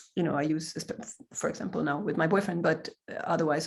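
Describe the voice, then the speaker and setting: A woman with a Swedish accent speaks fairly quickly at a fairly low pitch, with ordinary pitch variation. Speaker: improviser. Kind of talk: casual chat.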